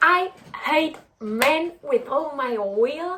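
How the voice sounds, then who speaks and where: A woman with a non-native accent speaks with lively intonation. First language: not English. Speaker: book vlogger. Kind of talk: casual talk to camera.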